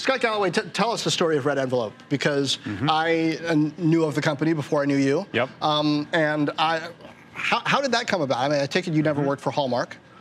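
Over noticeable background noise, a man with a fairly high pitch talks at a very fast pace. His loudness stays very even and his pitch varies in an ordinary way. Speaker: TV business show host. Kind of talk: interview show hosting.

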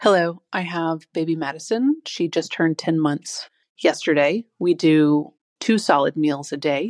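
Delivered at a fairly slow pace, a plain, everyday voice moves with ordinary pitch variation. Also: woman, fairly low pitch for a woman, dry, close sound with no echo, very clean recording, silent background. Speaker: breastfeeding mom. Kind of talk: voice message.

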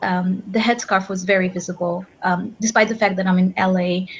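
A woman talks at a moderate pace in a somewhat breathy voice of medium pitch. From Egypt. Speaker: PhD student. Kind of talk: panel discussion. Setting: video call.

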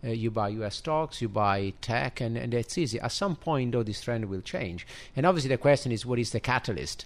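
At a moderate pace, a man of medium pitch speaks in a plain, everyday voice with ordinary pitch variation. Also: very clean recording, silent background. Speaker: investment strategist. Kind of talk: radio interview. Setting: studio.

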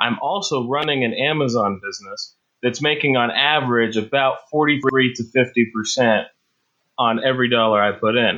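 A man speaks in an ordinary speaking voice at medium pitch and a moderate pace, with ordinary pitch variation. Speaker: podcast listener asking a question. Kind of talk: recorded voicemail question. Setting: phone call.

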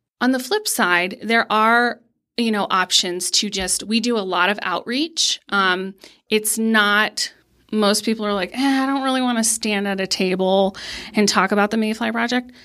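A woman with an American accent uses a plain, everyday voice at a fairly high pitch, speaking at a moderate pace with ordinary pitch variation in a very clean recording with a silent background. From Pennsylvania. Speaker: nonprofit youth mentor and fundraiser. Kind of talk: casual interview. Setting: studio.

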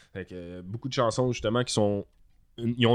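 Against a quiet background, a man with a Quebec accent speaks at a medium pitch with fairly even intonation. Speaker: musician and teacher. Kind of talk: casual chat.

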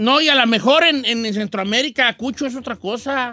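A man with an extremely high pitch speaks in a raised, projected voice at a moderate pace. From Mexico, Guadalajara. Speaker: radio host. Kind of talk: casual chat.

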